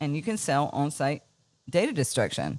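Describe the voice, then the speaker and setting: Talking at a very fast pace, a woman with a North Carolina accent is captured in a very clean recording with a silent background. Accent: Southern US, North Carolina. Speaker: business owner. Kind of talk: casual interview. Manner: animated.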